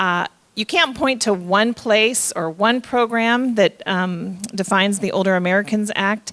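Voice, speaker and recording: The woman's voice sits at a medium pitch. She speaks fairly slowly with ordinary pitch variation. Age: 60s. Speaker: state aging official. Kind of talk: public speech. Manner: halting.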